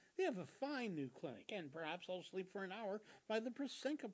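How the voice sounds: The intonation is lively in this natural reading voice.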